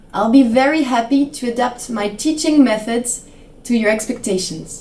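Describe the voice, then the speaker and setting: A woman's high voice at a very slow pace, with ordinary pitch variation and noticeable background noise. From French Alps. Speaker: English teacher and ski instructor. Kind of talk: self-introduction promo.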